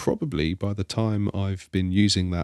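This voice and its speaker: In a very clean, dry and close recording with a silent background and no echo, a man with an English accent speaks at a very deep, low pitch with ordinary variation. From England. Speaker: iOS developer, podcaster. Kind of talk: casual interview chat.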